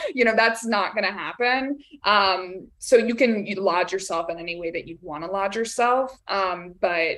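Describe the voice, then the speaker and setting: Her intonation lively, a woman speaks at a medium pitch. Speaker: talent agent. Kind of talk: webinar Q&A. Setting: live video webinar. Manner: fast.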